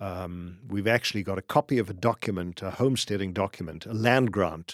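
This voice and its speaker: Recorded dry and close with no echo against a silent background in a very clean recording, a man with a South African accent speaks at a moderate pace in a very deep, low pitch with ordinary pitch variation. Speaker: business founder and commercial real estate tenant representative. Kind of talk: casual interview conversation.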